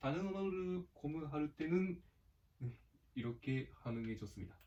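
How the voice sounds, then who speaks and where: This man's voice is somewhat breathy, with a dark, mellow tone. His pitch sits fairly high. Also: lively intonation, fairly slow pace. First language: Japanese (speaking Korean). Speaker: gaming youtuber. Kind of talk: casual gameplay commentary. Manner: halting.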